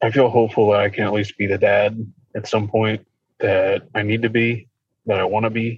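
In an American accent, a man talks at a moderate pace with a fairly low pitch, a somewhat breathy quality and monotone, flat intonation. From Ohio. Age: 30s. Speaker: counseling client. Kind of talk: counseling session. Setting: video call.

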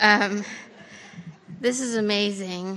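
A woman with an American accent talks at a medium pitch with ordinary pitch variation. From western Colorado. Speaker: writer. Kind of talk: public talk. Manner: halting.

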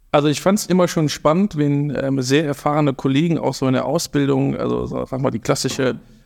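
In a very clean recording with a silent background, a man with a normal speaking voice speaks at a moderate pace in a fairly high pitch with ordinary pitch variation. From Germany, Rhineland (Eschweiler near Aachen). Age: 30s. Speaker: intensive care nursing manager. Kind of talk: casual chat. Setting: studio.

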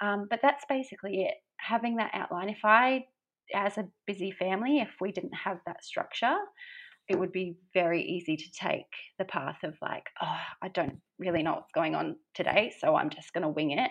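With an Australian accent, a woman speaks at a medium pitch. Her intonation is lively and her pace moderate. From Australia, Brisbane. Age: 30s. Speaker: small business owner and poet. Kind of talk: podcast interview. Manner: hesitant, many fillers.

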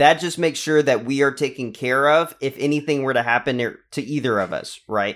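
A man with an American accent and a normal speaking voice talks fairly quickly in a fairly high pitch, with ordinary pitch variation and hardly any pauses, on a very clean recording with a silent background. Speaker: podcast host. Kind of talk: casual interview.

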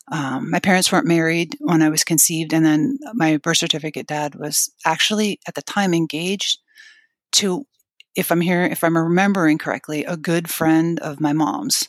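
In a very clean recording with a silent background and a dry, close sound with no echo, a woman with an American accent uses a normal speaking voice and lively intonation. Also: fairly low pitch for a woman, moderate pace. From Pennsylvania. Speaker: podcast guest sharing family story. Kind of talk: personal testimony in interview.

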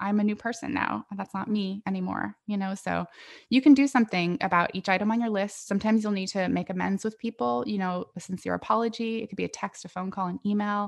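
A woman at medium pitch talks at a very fast pace with ordinary pitch variation in a dry, close sound with no echo. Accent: General American. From US West Coast (Northern California). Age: 40s. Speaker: podcaster and coaching client. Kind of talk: casual interview chat.

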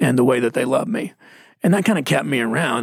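A man's very fast speech in a Texas accent at medium pitch. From Texas (Mesquite). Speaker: pastor. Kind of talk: casual chat.

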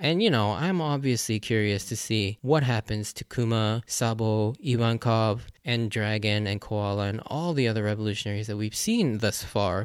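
A man talks at a medium pitch and moderate pace, with ordinary pitch variation. Noticeable background noise runs underneath. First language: English (Japanese is second language). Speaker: anime podcast host. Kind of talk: solo podcast episode review. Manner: casual, slightly rambling.

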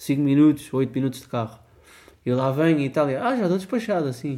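A man with a European Portuguese accent, a fairly high pitch, and a dark, mellow tone speaks at a fairly quick pace with ordinary pitch variation, in a very clean recording with a silent background. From Portugal, Porto Alto (Ribatejo). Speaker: podcast co-host. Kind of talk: casual chat.

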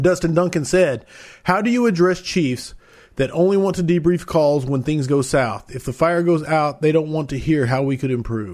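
In a very clean recording with a silent background, a man with a fairly high pitch speaks at a moderate pace. His is an unremarkable speaking voice with ordinary pitch variation. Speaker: podcast host. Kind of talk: casual interview chat. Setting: live video stream.

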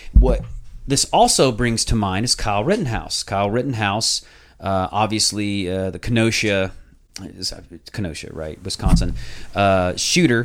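This is an ordinary speaking voice from a man, fairly low in pitch with ordinary pitch variation. He keeps a moderate pace, with big swings in loudness. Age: 30s. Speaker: podcast host. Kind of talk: casual chat.

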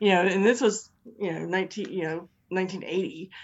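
Speaking at a fairly quick pace, a woman with an American accent has a plain, everyday voice at medium pitch. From Virginia. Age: 50s. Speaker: superfan co-host for the day. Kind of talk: casual chat.

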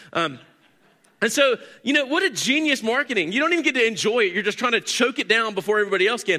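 Raised and projected, a man's high voice rushes at a very fast pace, bright and sharp in tone, with very wide pitch swings. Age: 40s. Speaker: pastor. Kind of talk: sermon. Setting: church.

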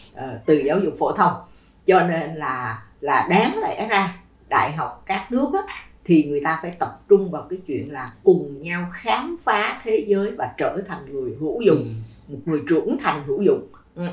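A woman's fairly low voice at a fairly slow pace, with very wide pitch swings and big swings in loudness. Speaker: education administrator. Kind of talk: casual chat.

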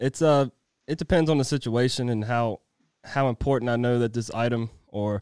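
In an American accent, a man uses an ordinary speaking voice at medium pitch, moderate pace and fairly even intonation, the sound dry and close with no echo. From Virginia. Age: 20s. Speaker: construction foreman. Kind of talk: interview. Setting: studio.

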